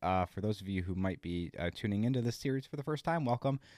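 Someone talks at a very fast pace on a very clean recording with a silent background. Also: man, dry, close sound with no echo. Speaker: podcast host. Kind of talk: casual solo recap podcast. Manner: casual, filler-heavy.

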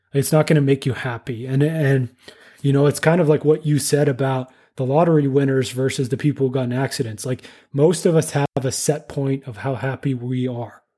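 With a Canadian accent, a man speaks at a fairly quick pace in a fairly high pitch, his tone dark and mellow, somewhat breathy, with fairly even intonation. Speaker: engineer and podcast host. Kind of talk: interview conversation.

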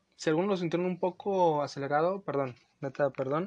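The background stays quiet. Against it, a man talks with normal variation in his pitch. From Los Angeles, US; lives in Mexico. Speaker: podcast host. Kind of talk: casual solo podcast talk.

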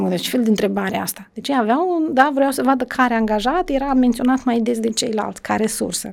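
A woman's plain, everyday voice, fairly high in pitch, at a fairly quick pace. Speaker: education official. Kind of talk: podcast interview.

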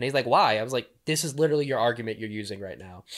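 On a very clean recording with a silent background, a man talks at a very fast pace with ordinary pitch variation. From southern Louisiana, New Orleans area. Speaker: local activist and outdoorsman. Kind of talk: casual interview. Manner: animated.

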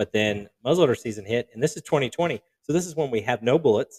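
Here a man with a normal speaking voice talks at a fairly quick pace, a medium pitch and lively intonation. The sound is dry and close with no echo, on a very clean recording with a silent background. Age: 30s. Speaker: taxidermist, podcast host. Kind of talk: casual chat. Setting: studio.

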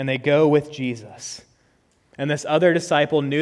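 In a normal speaking voice, the words come at a moderate pace with fairly even intonation. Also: man. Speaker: preacher. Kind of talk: sermon. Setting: church.

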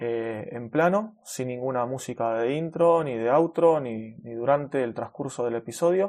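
A man with a Rioplatense accent talks at a moderate pace, with a medium pitch and ordinary pitch variation. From Argentina, Buenos Aires. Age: 30s. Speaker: web developer and podcast host. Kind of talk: casual solo podcast monologue. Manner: natural, unscripted with fillers.

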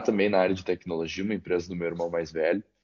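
A man's very deep, low voice. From Caxias do Sul, Rio Grande do Sul, Brazil. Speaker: company CEO and founder. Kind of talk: interview.

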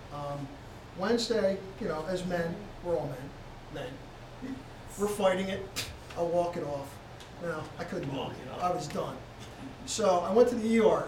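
Pausing long and often, a man talks fairly slowly at a high pitch against noticeable background noise. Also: ordinary pitch variation. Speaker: congregation member.

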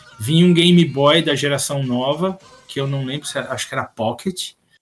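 A man talks over noticeable background noise. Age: 40s. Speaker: Pokémon player. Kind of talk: casual chat. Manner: animated.

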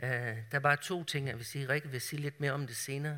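A man with a fairly high pitch talks at a fairly quick pace in a bright, sharp tone with fairly even intonation, on a very clean recording with a silent background. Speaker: preacher. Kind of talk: sermon. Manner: halting.

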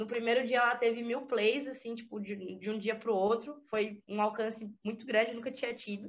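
A woman with a normal speaking voice talks in a fairly high pitch. Her pace is moderate and her intonation fairly even. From interior of Santa Catarina, Brazil. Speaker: rapper and music producer. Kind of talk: interview conversation.

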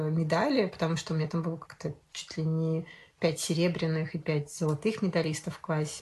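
A woman with a fairly low pitch talks in a somewhat breathy voice with fairly even intonation over a quiet background. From Sosnovy Bor, Leningrad region, Russia. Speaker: podcast guest, storyteller. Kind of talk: casual chat.

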